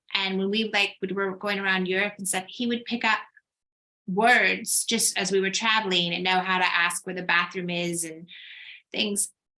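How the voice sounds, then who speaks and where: An unremarkable speaking voice from a woman in an American accent, medium in pitch, moderate in pace, with fairly even intonation. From United States. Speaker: writer. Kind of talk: panel discussion.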